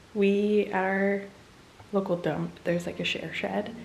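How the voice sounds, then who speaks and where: Music plays in the background as a woman talks at a medium pitch with a monotone, flat intonation. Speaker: homesteading vlogger. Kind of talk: casual vlog narration. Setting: at home indoors.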